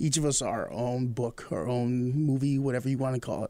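A male voice pitched in the medium range. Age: 30s. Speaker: podcast host. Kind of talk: casual interview. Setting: studio. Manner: energetic.

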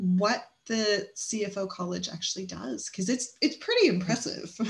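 A woman's somewhat breathy, enthusiastic voice at medium pitch. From Canada. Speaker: podcast host for bookkeeping business. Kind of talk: interview.

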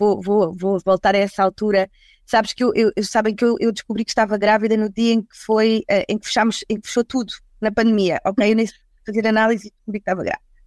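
A woman with a normal speaking voice, fairly high in pitch and fairly quick in pace, in dry, close sound with no echo. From Portugal, Lisbon and the Algarve. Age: 40s. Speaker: HR recruitment executive. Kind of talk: casual panel discussion.

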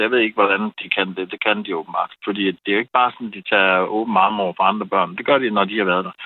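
A man talks in a normal speaking voice. His pitch is fairly low and his pace fairly quick. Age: 40s. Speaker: caller. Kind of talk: casual chat. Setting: phone call.

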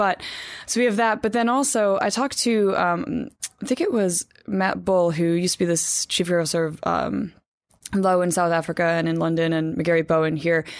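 In an American accent, a woman with an ordinary speaking voice talks at a moderate pace, her fairly low pitch carried by lively intonation and very even loudness. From New Jersey, US. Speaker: magazine editor. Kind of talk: casual interview.

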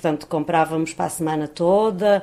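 A woman with a fairly low pitch. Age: 50s. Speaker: unemployed mother. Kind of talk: interview.

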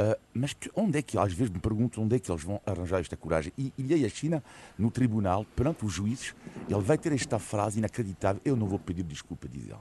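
A man talks at a very fast pace with lively intonation, his fairly low voice dark, mellow and somewhat breathy. The sound is dry and close, with no echo. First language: French (speaking Portuguese). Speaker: political commentator. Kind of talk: radio panel debate. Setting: radio studio.

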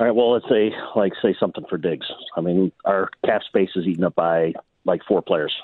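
A man speaks in an unremarkable speaking voice at a fairly low pitch and moderate pace. His pitch varies in an ordinary way and his loudness stays very even. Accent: American. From Buffalo, New York. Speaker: caller. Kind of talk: radio call-in.

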